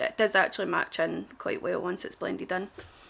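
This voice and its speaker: A woman speaks in a strong Glaswegian accent. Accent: thick Glaswegian. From Glasgow, Scotland. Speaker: makeup artist. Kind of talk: casual makeup tutorial talk to camera.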